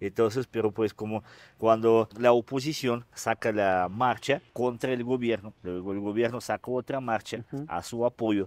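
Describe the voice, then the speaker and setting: With a Russian accent, a man speaks at medium pitch and a fairly slow pace, with fairly even intonation and a dry sound with no echo. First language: Russian (speaking Spanish). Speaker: mayor. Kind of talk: interview. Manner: halting. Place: street. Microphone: lapel.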